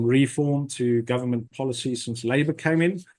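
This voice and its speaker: A man talks in a normal speaking voice at a moderate pace. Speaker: property investment webinar host. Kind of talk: webinar presentation.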